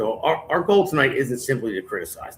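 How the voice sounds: A man's voice with a fairly bright tone and a slightly husky edge.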